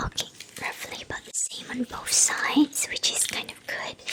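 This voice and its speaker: Against noticeable background noise, a woman whispers at a fairly slow pace. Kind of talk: ASMR role-play, boutique tailor taking measurements. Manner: slow, gentle, soft-spoken.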